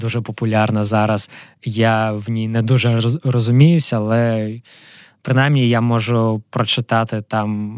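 Over a quiet background, a man speaks fairly slowly at a medium pitch in a flat monotone, the sound dry and close with no echo. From Ukraine, Kharkiv. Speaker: physical chemist, entrepreneur. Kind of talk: interview. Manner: halting.

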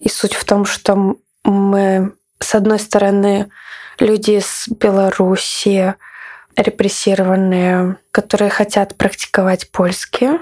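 Here a woman talks at a medium pitch and a very slow pace. Her intonation is monotone and flat. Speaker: artist and activist. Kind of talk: interview.

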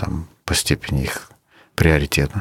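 His pitch sits very deep and low. The man's intonation is fairly even. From Uzbekistan (Crimean Tatar family). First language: Crimean Tatar (speaking Russian). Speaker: battalion commander, soldier. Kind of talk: interview testimony. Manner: halting.

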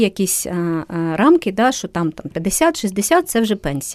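The woman's pitch is medium. She has a dark, mellow tone. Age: 50s. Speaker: psychologist and coach. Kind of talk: interview. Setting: studio.

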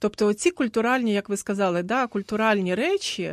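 Here is a woman with an ordinary speaking voice, a medium pitch and lively intonation at a moderate pace. The sound is dry and close with no echo, and the background is quiet. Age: 50s. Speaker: gender adviser. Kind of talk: radio panel discussion. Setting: radio studio.

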